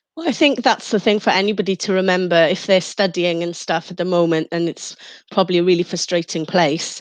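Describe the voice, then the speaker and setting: A woman speaks in a Welsh accent at a fairly low pitch. Her intonation is fairly even, and the background is quiet. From Mid Wales. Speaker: radio presenter and DJ. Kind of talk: interview.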